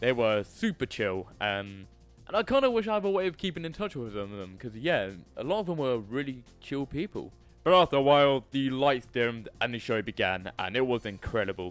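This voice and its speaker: Music plays behind a man talking at a fairly quick pace. His medium-pitched voice swings very widely in pitch. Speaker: YouTuber. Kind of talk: casual talk to camera.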